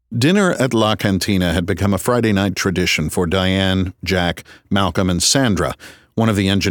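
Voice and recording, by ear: The pitch moves in an ordinary way as the text is read aloud in a natural voice.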